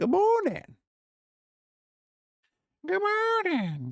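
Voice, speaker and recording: Someone is doing a put-on character voice. It climbs to an extremely high pitch. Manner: goofy, imitation.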